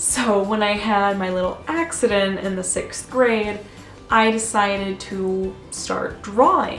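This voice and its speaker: Music plays behind the speaker. She is a woman. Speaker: art student and vlogger. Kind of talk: casual talk to camera. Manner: rambling.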